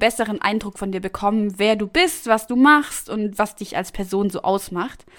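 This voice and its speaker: A woman's animated, fairly high voice at a fairly slow pace, with ordinary pitch variation. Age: 20s. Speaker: podcast host. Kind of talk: casual chat.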